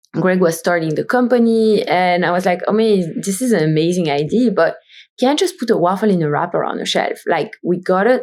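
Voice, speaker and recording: The intonation is lively, with a Belgian accent. The pace is fairly quick. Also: woman. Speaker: brand founder and CEO. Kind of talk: podcast interview.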